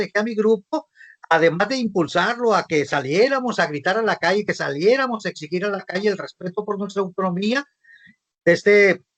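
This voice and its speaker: Pitched high, a man speaks at a moderate pace with ordinary pitch variation in a dry, close sound with no echo. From Mexico, Sinaloa. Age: 60s. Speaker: visual artist and arts coordinator. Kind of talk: panel talk.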